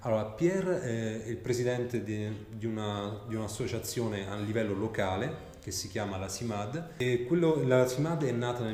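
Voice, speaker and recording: A man talks at a moderate pace and medium pitch with ordinary pitch variation. Noticeable background noise and room echo are audible. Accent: Italian. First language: Italian (speaking French). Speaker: interviewer and translator. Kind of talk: interview. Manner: halting.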